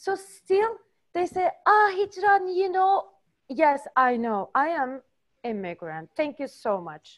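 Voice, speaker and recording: A woman talks at a very slow pace with an extremely high pitch. Her voice makes very wide pitch swings. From Turkey. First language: Turkish. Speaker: student. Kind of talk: casual chat. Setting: video call. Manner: halting.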